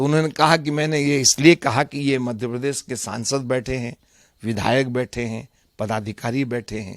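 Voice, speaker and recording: In a very clean recording with a silent background and a dry, close sound with no echo, a man at a medium pitch speaks in an unremarkable speaking voice with ordinary pitch variation. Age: 60s. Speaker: politician. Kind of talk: interview.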